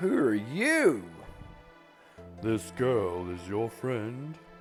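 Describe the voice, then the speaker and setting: A man puts on a character voice at medium pitch and speaks at a very slow pace. Clear music plays in the background. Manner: questioning, commanding.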